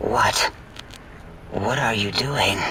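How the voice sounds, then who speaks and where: A man puts on a character voice at a medium pitch, with clear background noise behind him. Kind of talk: video game voice acting. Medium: game stream. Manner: eccentric, clinical, rambling.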